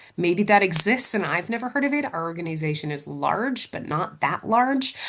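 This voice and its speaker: The intonation is lively. A woman speaks at a moderate pace. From United States. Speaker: publishing training manager. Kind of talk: webinar Q&A. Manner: hesitant, many fillers.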